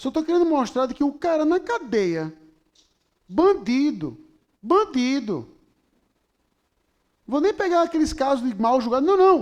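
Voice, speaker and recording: Pausing long and often, a man speaks fairly slowly at an extremely high pitch, his voice moving in very wide pitch swings. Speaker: pastor. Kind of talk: sermon. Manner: animated.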